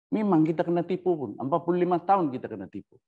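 Against a quiet background, a man speaks at a moderate pace in a dark, mellow tone with vocal fry. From Sabah, Malaysia (born Sandakan); Sabah, Malaysia. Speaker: researcher on constitutional history. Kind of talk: lecture. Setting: Facebook live session. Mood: earnest, somewhat aggrieved. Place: home room. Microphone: lapel.

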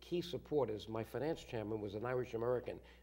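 With lively intonation, a man speaks in a somewhat breathy voice of dark, mellow tone. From Bronx, New York. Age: 60s. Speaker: guest, former congressman. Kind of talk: interview answer. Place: studio. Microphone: lapel.

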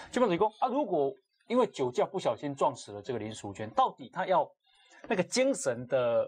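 Speaking at a fairly quick pace, a man with a high pitch makes very wide pitch swings and big swings in loudness. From Taiwan. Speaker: talk show host. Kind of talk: casual chat. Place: studio. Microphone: lapel.

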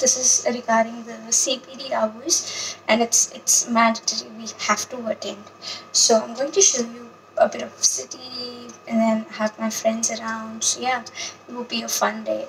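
Over light background noise, a woman speaks at a fairly slow pace with fairly even intonation. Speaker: vlogger. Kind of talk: casual vlog chat. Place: home room. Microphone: phone near.

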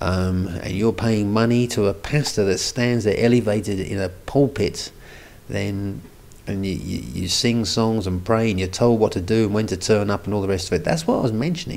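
A man speaks at a moderate pace in a fairly low voice with vocal fry and a slightly mellow tone. His pitch varies in an ordinary way, and room echo is audible.

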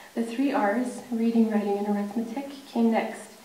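Flat, monotone intonation at a moderate pace, with audible room echo. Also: woman. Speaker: speaker. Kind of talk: prepared speech. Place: hall. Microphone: podium.

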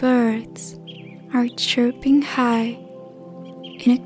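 Music plays in the background as a woman speaks. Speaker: meditation guide. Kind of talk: guided sleep meditation. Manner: hypnotic, calming.

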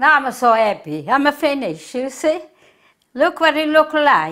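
In a strong southern Italian accent, a woman speaks at a high pitch with a bright, sharp tone and lively intonation over a quiet background. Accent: heavy southern Italian accent in English. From southern Italy, Puglia. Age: 80s+. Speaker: home cook; home cook host. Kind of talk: cooking tutorial. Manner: halting. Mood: warm, cheerful. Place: kitchen.

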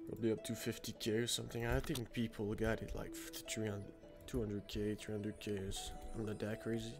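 Music plays in the background as a man with a fairly low voice talks at a moderate speed. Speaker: video game streamer. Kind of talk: casual gameplay commentary.

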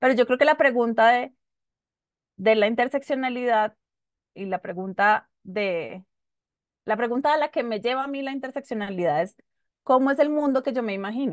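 A woman's high voice with ordinary pitch variation and long, frequent pauses, dry with no echo, over a quiet background. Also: moderate pace. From Colombia, Bogotá. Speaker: human rights lawyer; panelist. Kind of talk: panel discussion. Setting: video call. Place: home room. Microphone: video call.

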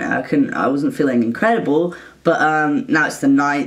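Against a quiet background, the speaker keeps a moderate pace. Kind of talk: casual vlog chat. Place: home room. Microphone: phone near.

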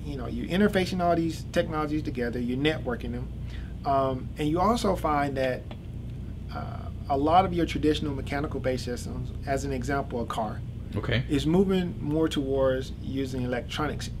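Noticeable noise sits behind this man as he talks fairly quickly. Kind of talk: interview answer. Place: office. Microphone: camera far.

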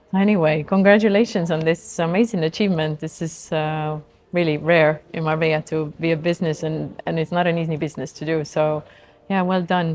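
In an unremarkable speaking voice, a woman talks at a fairly quick pace with a fairly low pitch and fairly even intonation. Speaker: podcast host. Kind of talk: interview.

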